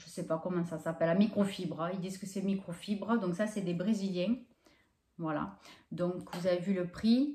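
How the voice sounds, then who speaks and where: A woman's dark, mellow, somewhat breathy voice with fairly even intonation and audible room echo. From France. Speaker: YouTuber doing shopping hauls. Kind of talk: casual vlog haul presentation. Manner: hesitant, many fillers. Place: home room. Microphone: camera far.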